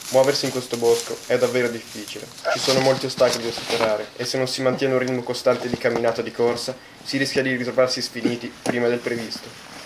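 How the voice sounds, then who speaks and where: Talking at a very fast pace, a man is heard through noticeable background noise. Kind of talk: parody documentary narration. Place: forest. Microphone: phone near.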